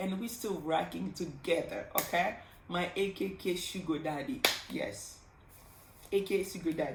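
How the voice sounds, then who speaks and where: Amid noticeable background noise and audible room echo, a woman with a Congolese accent speaks in an animated tone at medium pitch with ordinary pitch variation. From Congo, Kinshasa. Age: 30s. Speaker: pharmacist vlogger. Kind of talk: casual vlog storytime.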